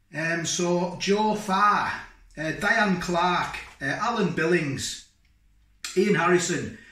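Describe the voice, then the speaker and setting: A man talks with a high pitch and fairly even intonation. The room echo is audible. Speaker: food vlogger. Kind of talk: casual vlog chat. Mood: cheerful, grateful. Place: kitchen. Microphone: camera far.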